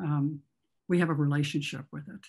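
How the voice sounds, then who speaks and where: A woman with an American accent has a very deep, low pitch and a dark, mellow tone. Her voice is somewhat breathy. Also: quiet background. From US Midwest, northern Illinois. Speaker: author and photographer; presenter. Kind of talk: illustrated lecture. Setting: video call. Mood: reflective, warm. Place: home room. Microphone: video call.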